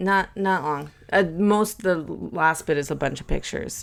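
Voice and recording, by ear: The clip features reading aloud in a natural voice, and the pitch varies in an ordinary way.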